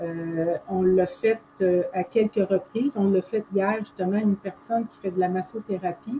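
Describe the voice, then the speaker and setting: Over noticeable background noise, a woman in a Quebec accent speaks at a fairly slow pace with medium pitch and ordinary pitch variation. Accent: Québécois French. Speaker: holistic therapist. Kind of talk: casual explanation.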